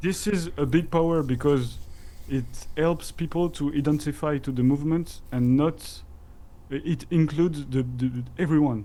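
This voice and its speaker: A man with a fairly high voice and a French accent, at a moderate pace and with fairly even intonation. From France. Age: 30s. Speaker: crypto community guest. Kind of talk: casual interview chat. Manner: halting.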